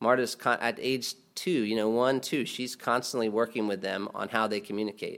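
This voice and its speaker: A man speaks at a moderate pace and medium pitch with ordinary pitch variation. The recording is very clean, with a silent background. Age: 40s. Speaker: pastor. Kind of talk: sermon. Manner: halting.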